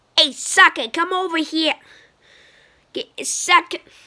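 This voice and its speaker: A woman's put-on character voice, extremely high-pitched, raised and projected, at a moderate pace with ordinary pitch variation. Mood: taunting, playful.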